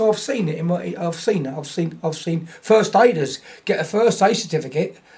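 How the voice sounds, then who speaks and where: Noticeable background noise sits behind a man's voice. His intonation is lively and his pace moderate. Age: 70s. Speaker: martial arts instructor. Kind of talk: interview. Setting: event venue. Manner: halting, many repetitions.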